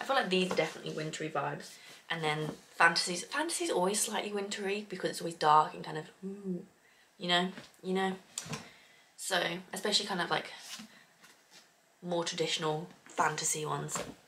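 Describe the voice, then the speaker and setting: This woman's voice sits fairly low, with ordinary pitch variation and a fairly quick pace. She leaves long, frequent pauses over noticeable background noise. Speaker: book vlogger. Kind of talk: casual vlog. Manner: fast.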